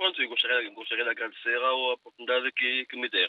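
A man speaks at a medium pitch. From São Tomé and Príncipe. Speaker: radio listener caller, immigrant. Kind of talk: phone-in opinion. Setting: phone call. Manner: halting, repetitive.

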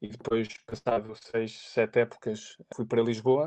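A man's dark, mellow tone holds a monotone, flat intonation at a moderate pace. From Portugal, Aveiro. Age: 30s. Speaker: sports physiotherapist. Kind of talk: interview. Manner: halting, many fillers.

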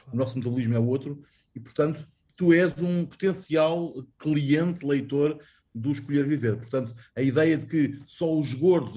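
A man talks at a moderate pace with a fairly high pitch. His tone is dark and mellow and somewhat breathy. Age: 40s. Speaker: journalist. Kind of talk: interview. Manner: halting.

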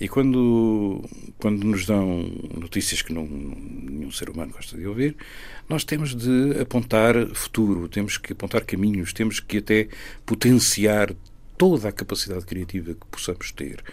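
Recorded very cleanly against a silent background, a man with a normal speaking voice, fairly low in pitch, speaks at a moderate pace with lively intonation and big swings in loudness. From Portugal, Ribatejo (Riachos). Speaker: singer-songwriter. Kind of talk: interview.

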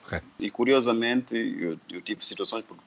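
A male voice, rather slow, against clear background noise. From Mozambique, Sofala (Buzi). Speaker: painter. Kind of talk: interview.

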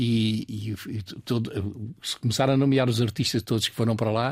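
A man's somewhat breathy, medium-pitched voice on a very clean recording with a silent background. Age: 80s+. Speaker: painter and art school founder. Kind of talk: interview. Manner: halting.

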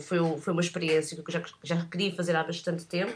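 A woman speaks in a fairly low voice with monotone, flat intonation. There is noticeable background noise. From Portugal. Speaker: photographer. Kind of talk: interview. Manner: halting.

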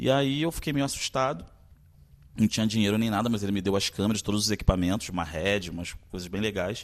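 A man rattles along very fast in a fairly low voice, his pitch varying a normal amount. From Brazil, Maranhão, raised in Rio de Janeiro. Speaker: actor and director. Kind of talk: interview.

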